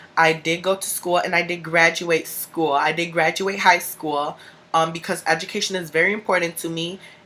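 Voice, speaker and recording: Here a woman talks with a Chicago accent at a fairly low pitch. Her intonation is monotone and flat, and her pace is moderate. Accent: Chicago speech. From US Midwest, Chicago. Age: 20s. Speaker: vlogger. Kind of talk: personal vlog. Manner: casual, filler-heavy.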